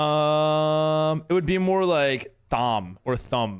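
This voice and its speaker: A man speaks with lively intonation at a fairly high pitch. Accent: American. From New York. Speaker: Minecraft streamer and server owner. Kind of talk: live stream chat. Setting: live stream. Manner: casual, halting with repetitions.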